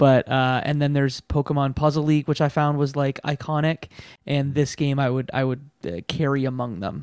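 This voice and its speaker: A plain, everyday voice moves at a moderate pace with fairly even intonation, its dry, close sound having no echo on a very clean recording with a silent background. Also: man, fairly high pitch for a man. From Canada. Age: 30s. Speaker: video game podcast host. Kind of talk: casual chat.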